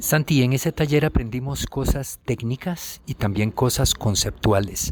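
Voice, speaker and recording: At a fairly slow pace, a man speaks at a medium pitch with ordinary pitch variation and a somewhat breathy voice. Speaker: professor and program host. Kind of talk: radio program narration and interview.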